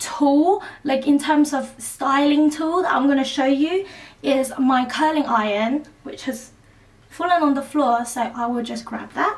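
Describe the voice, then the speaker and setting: A woman talks at a fairly slow pace with a British accent. Her pitch is high. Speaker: beauty vlogger. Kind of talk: tutorial.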